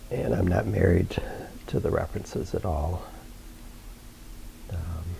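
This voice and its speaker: A man with a very deep, low pitch talks at a fairly slow pace with lively intonation. Audible room echo surrounds his voice. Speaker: painter. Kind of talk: painting tutorial. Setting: studio. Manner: halting.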